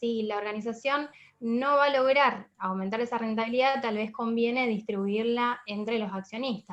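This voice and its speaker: A woman's unremarkable speaking voice, fairly high in pitch, at a moderate pace with fairly even intonation. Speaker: finance lecturer. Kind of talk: online lecture. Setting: video call, camera off. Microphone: poor internet connection.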